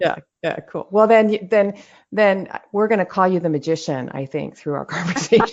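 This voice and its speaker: The voice is an unremarkable speaking voice. The pace is fairly quick. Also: woman, medium pitch for a woman, ordinary pitch variation. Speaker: podcast host. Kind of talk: podcast interview host.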